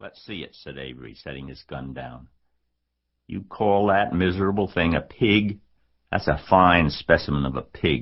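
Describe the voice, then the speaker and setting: A man's voice shows vocal fry and lively intonation. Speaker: audiobook narrator. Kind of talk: children's audiobook narration.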